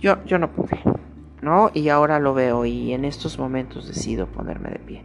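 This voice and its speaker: A woman speaks at a moderate pace with big swings in loudness against noticeable background noise. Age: 50s. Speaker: spiritual podcaster. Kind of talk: personal monologue. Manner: halting.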